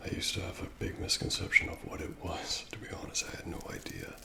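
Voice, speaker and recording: Whispering, a man with an American accent keeps a relaxed tone. There is noticeable background noise. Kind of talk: ASMR personal attention talk showing items to the viewer. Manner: soft-spoken, whispery, relaxed.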